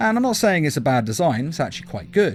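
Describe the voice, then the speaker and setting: With music in the background, a man talks in very wide pitch swings. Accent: English. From England. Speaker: YouTube reviewer. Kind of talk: video review.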